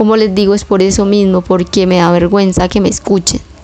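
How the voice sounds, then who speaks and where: A woman's dark, mellow voice at medium pitch and a fairly quick pace. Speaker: home cleaning vlogger. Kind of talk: casual vlog voiceover.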